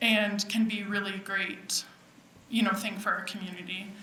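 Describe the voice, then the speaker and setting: Over noticeable background noise and audible room echo, a woman talks at a moderate pace and medium pitch. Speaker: public commenter at town meeting. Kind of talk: public comment testimony.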